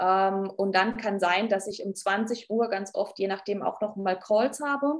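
A woman speaks with a Baden accent at a fairly slow pace. Her medium-pitched voice has lively intonation. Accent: Baden dialect (Ortenau). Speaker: nursing leadership trainer and speaker. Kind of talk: podcast interview.

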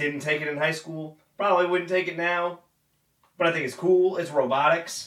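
Sounding high-pitched, a man talks in a monotone, flat intonation. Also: moderate pace. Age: 20s. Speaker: podcast co-host. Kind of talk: casual chat.

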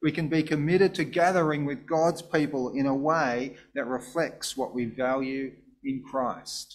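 The background is silent in this very clean recording. An ordinary speaking voice keeps a moderate pace, with ordinary pitch variation. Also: man. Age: 50s. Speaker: pastor. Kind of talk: sermon. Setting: church.

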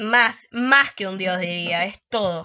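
A woman with a medium-pitched voice talks at a very slow pace, with ordinary pitch variation. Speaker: podcast host. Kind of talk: casual chat.

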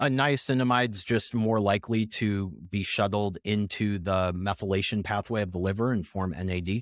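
Using an ordinary speaking voice, a man talks at a fairly low pitch and a moderate pace with ordinary pitch variation and hardly any pauses. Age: 30s. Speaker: nutrition researcher and writer. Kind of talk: interview conversation. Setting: remote call.

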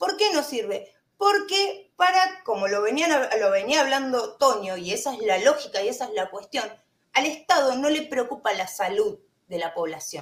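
Her voice high and swinging very widely in pitch, a woman speaks at a moderate pace. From Argentina. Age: 30s. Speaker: vape shop owner and vaping advocate. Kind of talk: panel discussion.

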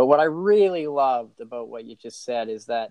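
With lively intonation, a man speaks in an ordinary speaking voice. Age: 40s. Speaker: podcast host. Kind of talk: casual chat.

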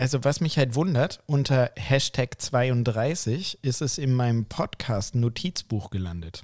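A man at a medium pitch, very slow pace and lively intonation, with hardly any pauses, in a dry, close sound with no echo on a very clean recording with a silent background. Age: 30s. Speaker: anesthesia clinician and podcast co-host. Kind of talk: casual chat.

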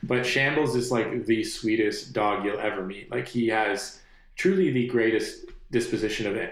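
A man speaks in a plain, everyday voice at a moderate pace. His pitch is medium, with ordinary pitch variation. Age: 30s. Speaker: musician. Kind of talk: casual interview. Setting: studio.

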